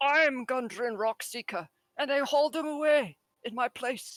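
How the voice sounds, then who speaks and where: A man in a put-on character voice, extremely high in pitch, at a moderate pace. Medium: actual play. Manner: excitable, rambling.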